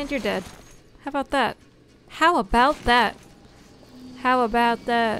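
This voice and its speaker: Speaking at a fairly slow pace, a woman with a high pitch and a bright, sharp tone uses ordinary pitch variation, the sound dry with no echo and light background noise. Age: 20s. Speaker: game streamer. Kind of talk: live gameplay commentary. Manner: animated. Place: home room. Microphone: studio mic.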